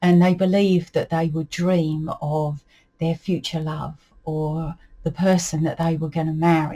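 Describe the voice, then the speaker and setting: Somewhat breathy and fairly low, a woman's dark, mellow voice unfolds at a fairly slow pace. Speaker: folklore and dialect storyteller. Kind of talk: casual talk-to-camera explanation. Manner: relaxed, conversational with fillers.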